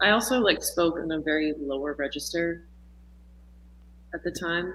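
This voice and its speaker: A husky woman with an American accent, fairly low-pitched, at a moderate pace, with ordinary pitch variation and big swings in loudness. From Texas. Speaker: musician and dancer. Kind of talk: casual interview chat. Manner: halting, many fillers.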